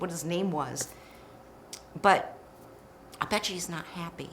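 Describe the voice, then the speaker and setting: With an American accent, a woman talks at a moderate pace over noticeable background noise. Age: 60s. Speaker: podcast host. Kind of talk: casual chat. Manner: animated.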